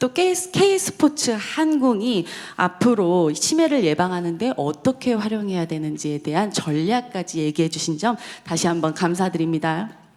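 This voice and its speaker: Noticeable background noise runs behind a woman at a medium pitch. She talks at a moderate pace with lively intonation. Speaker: forum moderator, professor. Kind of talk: event moderation.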